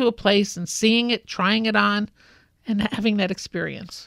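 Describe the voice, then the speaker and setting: In a New York accent, a woman speaks at a fairly slow pace and a fairly high pitch, with a dry, close sound and no echo. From New York City (Brooklyn). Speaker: fashion industry consultant. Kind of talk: interview.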